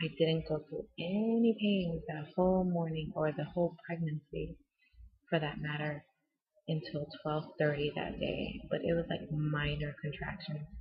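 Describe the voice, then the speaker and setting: Whispering at a fairly slow pace, a woman speaks. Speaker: vlogger. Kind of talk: personal vlog storytelling.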